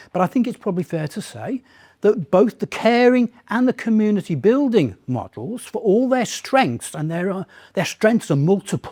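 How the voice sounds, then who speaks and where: The recording is very clean, with a silent background. A man speaks at a moderate pace in a high, dark, mellow voice with lively intonation. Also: dry, close sound with no echo. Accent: British. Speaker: lecturer in political theology. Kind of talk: lecture Q&A answer.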